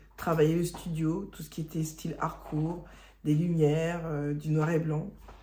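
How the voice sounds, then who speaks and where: With audible room echo, a woman speaks at a fairly slow pace in a dark, mellow, somewhat breathy tone. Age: 40s. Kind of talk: testimony. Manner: halting.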